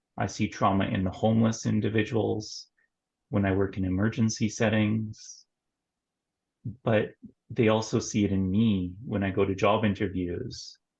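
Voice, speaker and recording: In a Canadian accent, a man with a fairly low pitch and a somewhat breathy voice talks at a moderate pace in a monotone, flat intonation, leaving long, frequent pauses. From Canada, northern Ontario. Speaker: nurse and mental health therapist. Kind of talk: interview conversation.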